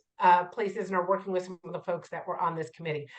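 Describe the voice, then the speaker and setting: This woman's tone is animated. She is talking. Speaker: community health board president and PhD student. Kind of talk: interactive lecture. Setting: video call.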